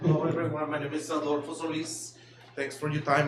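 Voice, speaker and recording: A man talks at a fairly quick pace. Room echo is audible, along with noticeable background noise. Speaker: cleaning business owner. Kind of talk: public presentation at meeting. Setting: school board meeting. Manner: halting, many fillers and repeats.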